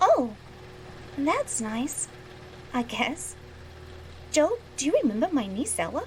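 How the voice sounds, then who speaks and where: A woman uses a put-on character voice with a high pitch and very wide pitch swings. She goes at a fairly slow pace with long, frequent pauses over clear background noise. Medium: audio drama.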